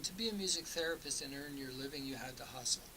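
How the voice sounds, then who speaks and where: Over noticeable background noise, a man with a Canadian accent speaks at a fairly quick pace in a fairly high voice. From eastern Canada. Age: 60s. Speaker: folk singer-songwriter. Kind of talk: radio interview. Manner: casual, with frequent fillers and repetitions.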